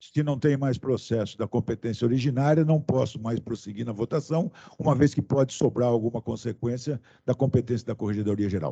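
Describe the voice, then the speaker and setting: Somewhat breathy, a man speaks at a fairly quick pace in a medium pitch with a dark, mellow tone and ordinary pitch variation, the sound dry and close with no echo. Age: 60s. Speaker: senior prosecutor, council member. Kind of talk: formal meeting. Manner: formal.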